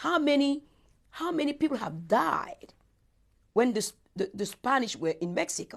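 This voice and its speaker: Speaking with a West African accent, a woman has a high pitch, very wide pitch swings, and an animated, passionate tone at a moderate pace with long, frequent pauses. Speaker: interviewee, speaker on Africa. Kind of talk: interview. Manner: halting, with repetitions.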